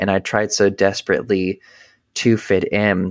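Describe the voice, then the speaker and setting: This man has an unremarkable speaking voice with an American accent, fairly low in pitch and fairly even in intonation. He speaks at a fairly slow pace on a very clean recording with a silent background. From US South, North Carolina. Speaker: cult survivor and podcaster. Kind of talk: interview testimony.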